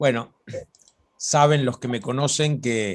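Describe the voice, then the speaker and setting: A man talks with ordinary pitch variation. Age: 60s. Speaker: religious studies lecturer. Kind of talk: informal talk on biblical topics.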